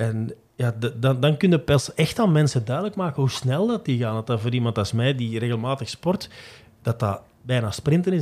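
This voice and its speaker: A man speaks at a fairly quick pace, somewhat breathy. His intonation is lively. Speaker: sports journalist. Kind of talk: casual chat.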